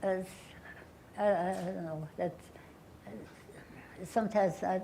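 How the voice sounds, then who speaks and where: With a German accent, a woman talks at a fairly slow pace and a medium pitch. Her intonation is fairly even, and audible room echo surrounds her voice. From Austria and Bulgaria (Vienna, Sofia). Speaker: Holocaust survivor. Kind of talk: Q&A testimony. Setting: lecture hall with audience, live stream. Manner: halting.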